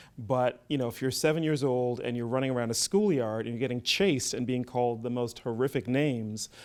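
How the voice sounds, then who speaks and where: Medium-pitched man at a fairly quick pace with ordinary pitch variation, on a very clean recording with a silent background. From Barbados. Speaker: film festival executive. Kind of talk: interview. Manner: hesitant, many fillers.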